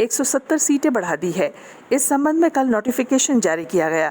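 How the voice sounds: Speaking at a moderate pace, a woman has a slightly mellow tone and lively intonation.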